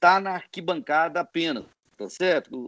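The sound of this man's speech is dry and close, without any echo. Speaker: football club executive and law professor. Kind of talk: interview. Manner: halting, many hesitations.

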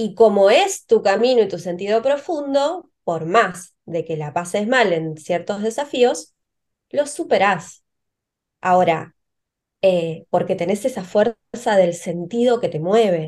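Very slow speech in a Rioplatense accent. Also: woman, medium pitch for a woman, lively intonation. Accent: Argentine Rioplatense Spanish. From Argentina, Río Negro. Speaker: pharmacist and herbal medicine entrepreneur. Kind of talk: interview.

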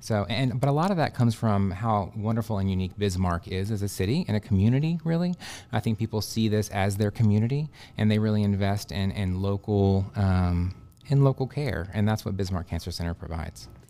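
A man with an American accent, fairly low in pitch, at a fairly quick pace with ordinary pitch variation. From Texas (Dallas, Houston). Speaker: radiation oncologist. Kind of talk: interview, explaining medical topics. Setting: studio podcast. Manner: hesitant, many fillers.

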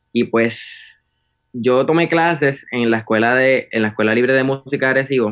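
A man speaks in a Puerto Rican accent. He goes at a fairly slow pace with ordinary pitch variation. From Puerto Rico, Arecibo. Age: 20s. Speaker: saxophonist, music student. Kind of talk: interview. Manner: halting, many fillers.

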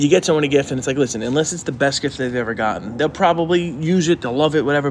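A man's fairly high-pitched voice, a normal speaking voice with ordinary pitch variation. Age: 40s. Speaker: podcast co-host. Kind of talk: casual chat. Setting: garage.

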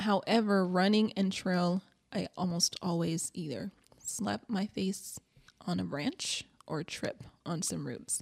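A woman speaks very slowly with vocal fry and ordinary pitch variation, in a dry, close sound with no echo. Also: medium pitch for a woman. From Mississippi. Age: 20s. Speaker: amateur ultrarunner. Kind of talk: casual chat.

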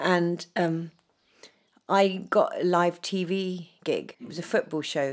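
A woman speaks with a southern English accent at a very slow pace. Her voice is fairly low, with fairly even intonation. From southern England (Dorset), shaped in London. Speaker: former professional dancer. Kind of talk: casual chat.

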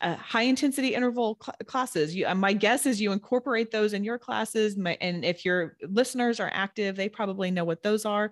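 With a plain, everyday voice, a woman talks at a fairly quick pace and fairly high pitch, using ordinary pitch variation and hardly any pauses, on a very clean recording with a silent background. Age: 40s. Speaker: personal trainer and nutrition coach. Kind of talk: casual interview.

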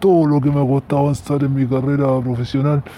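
The man speaks at a medium pitch. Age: 40s. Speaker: unemployed operations manager, listener. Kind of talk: recorded voice message.

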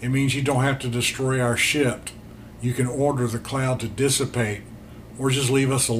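The clip features an unforced reading voice. That is all it presents.

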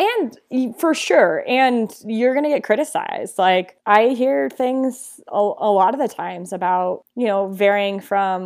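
An unremarkable speaking voice from a woman, talking at a fairly slow pace with lively intonation. The recording is very clean, with a silent background. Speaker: sports broadcaster and former soccer player. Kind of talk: casual interview.

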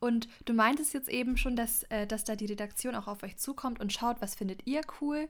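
This is a plain, everyday voice: a woman at a fairly high pitch, moderate pace and ordinary pitch variation. The recording is very clean with a silent background. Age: young. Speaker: podcast host and journalist. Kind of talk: casual interview.

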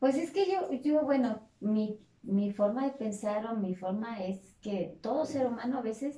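A woman with an ordinary speaking voice, lively intonation and a fairly slow pace. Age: 40s. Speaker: fitness instructor. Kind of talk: casual interview chat.

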